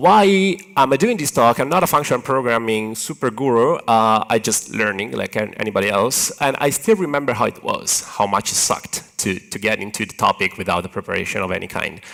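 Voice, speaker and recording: A man with an Italian accent speaks at a medium pitch with lively intonation and hardly any pauses, over noticeable background noise. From Italy. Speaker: software engineer, conference speaker. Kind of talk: conference talk. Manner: animated, hand-waving.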